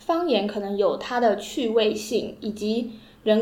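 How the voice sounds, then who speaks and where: A woman talks at a fairly slow pace in a fairly high pitch with ordinary pitch variation and a dark, mellow tone. Audible room echo surrounds her voice. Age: 20s. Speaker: podcast co-host. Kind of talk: casual book discussion.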